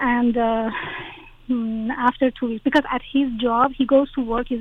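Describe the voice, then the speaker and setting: A woman in a Persian accent speaks in a monotone, flat intonation at a fairly high pitch, with noticeable background noise. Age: 40s. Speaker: caller. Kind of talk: personal advice call. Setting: phone call.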